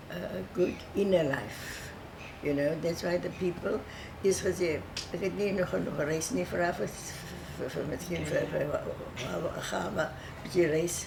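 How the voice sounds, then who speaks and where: A woman at a moderate pace with long, frequent pauses, in audible room echo with noticeable background noise. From South Africa, Cape Town (Bo-Kaap). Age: 80s+. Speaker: oral history interviewee. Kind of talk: oral history interview. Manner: halting, with frequent repetitions and fillers.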